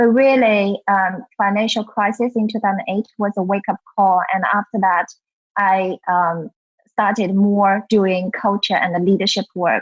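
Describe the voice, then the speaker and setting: A woman's medium-pitched voice with a Chinese accent, at a moderate pace, with monotone, flat intonation and very even loudness, over music in the background. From China. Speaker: culture and leadership consultant, author. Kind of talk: interview.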